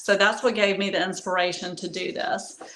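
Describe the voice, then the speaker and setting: Audible room echo surrounds a woman speaking at a medium pitch with an American accent. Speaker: artist in residence demonstrating a DIY paint project. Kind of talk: livestream tutorial. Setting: live stream. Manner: halting, many fillers.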